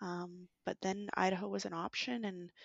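Medium-pitched woman with a Canadian accent. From Canada, British Columbia. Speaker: landscape architect. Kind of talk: career interview.

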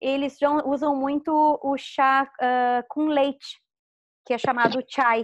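Against a quiet background, a woman speaks fairly slowly in a high voice with ordinary pitch variation. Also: dry, close sound with no echo. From Rio Grande do Sul, southern Brazil. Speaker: YouTuber living abroad. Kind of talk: casual interview.

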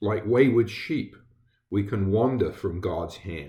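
A man with an American accent speaks in a fairly low, dark, mellow voice that is somewhat breathy. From England. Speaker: Lutheran pastor. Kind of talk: devotional sermon. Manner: halting, with fillers.

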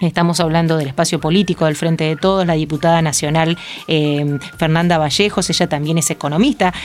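Music plays in the background as a woman talks at a fairly low pitch with fairly even intonation. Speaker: radio host. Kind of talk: interview; formal introduction.

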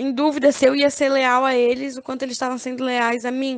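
A woman at a high pitch speaks at a moderate pace with monotone, flat intonation. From Brazil, Florianópolis. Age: 20s. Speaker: online game contestant. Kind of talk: casual interview.

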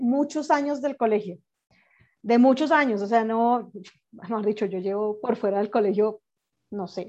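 The speaker has a Colombian accent. The loudness swings widely. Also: woman. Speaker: entrepreneur and podcaster. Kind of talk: casual chat.

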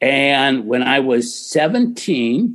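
In a General American accent, a man with an ordinary speaking voice talks at a fairly high pitch with ordinary pitch variation. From US Midwest (Ohio). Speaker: film producer and studio executive. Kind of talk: interview conversation.

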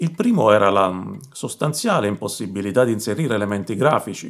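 In an ordinary speaking voice, a man with a medium pitch talks at a fairly quick pace with lively intonation. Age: 40s. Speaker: YouTuber on open-source intelligence. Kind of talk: personal narration to camera. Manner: formal.

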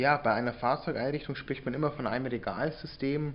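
Speaking in a plain, everyday voice, the talker keeps a moderate pace and fairly even intonation. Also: man. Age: 20s. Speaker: entrepreneur, sales expert. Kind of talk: interview.

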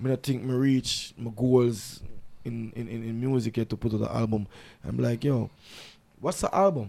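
A man's dark, mellow voice of medium pitch with a Jamaican accent, ordinary pitch variation, a moderate pace, and long, frequent pauses. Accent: Jamaican Patois-inflected English. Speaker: dancehall artist. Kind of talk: casual interview. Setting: studio.

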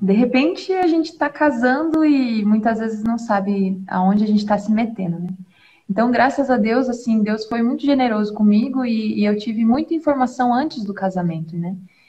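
A dark, mellow, somewhat breathy tone with lively intonation at a moderate pace. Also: woman, fairly high pitch for a woman. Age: 20s. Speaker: doula and mother. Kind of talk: religious talk in live stream. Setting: live stream video call, using headphones.

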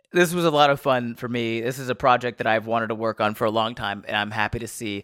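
An unremarkable speaking voice from a man with an American accent, medium in pitch with ordinary pitch variation, dry and close with no echo, on a very clean recording with a silent background. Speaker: podcast host and comedian. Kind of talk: scripted intro and outro; casual chat. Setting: studio.

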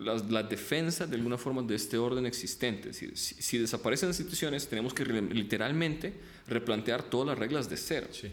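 A man at a moderate pace and medium pitch, lively intonation, audible room echo around him. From Ukraine, moved to Colombia at 10. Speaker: international relations professor. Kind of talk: interview.

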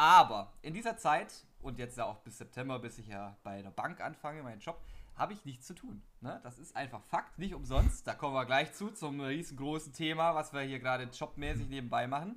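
Talking at a fairly quick pace, a man with a normal speaking voice and fairly high pitch shows big swings in loudness. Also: lively intonation. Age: young. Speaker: podcast co-host. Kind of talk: casual chat.

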